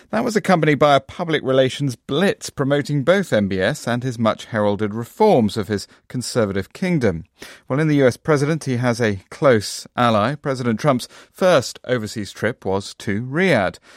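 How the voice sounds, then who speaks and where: A man with a normal speaking voice talks at a moderate pace and medium pitch with lively intonation, on a very clean recording with a silent background. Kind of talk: news reading. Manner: formal, measured broadcast delivery.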